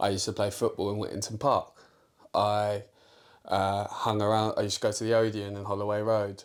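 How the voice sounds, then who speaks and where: This man talks at a fairly quick pace in a North London accent. His pitch is fairly low and his intonation is flat and monotone. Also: very clean recording, silent background. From North London (Islington). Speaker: football podcast co-host. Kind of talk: casual chat.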